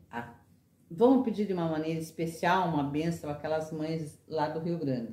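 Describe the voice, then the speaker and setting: With audible room echo, a woman speaks at a moderate pace in a very deep, low pitch with ordinary pitch variation. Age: 60s. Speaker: retired teacher. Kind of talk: interview.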